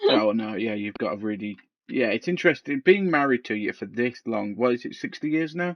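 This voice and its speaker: Intonation here is lively, in a West Country accent. The pace is fairly quick. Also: man, medium pitch for a man. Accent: West Country, likened to a pirate. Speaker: podcast co-host. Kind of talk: casual chat. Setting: on a couch.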